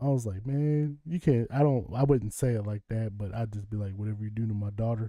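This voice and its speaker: A man with an American accent, a dark, mellow tone and fairly low pitch, at a fairly quick pace with ordinary pitch variation, over a quiet background. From Kentucky, US South. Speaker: live streamer. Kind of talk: casual livestream chat. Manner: conversational, rambling.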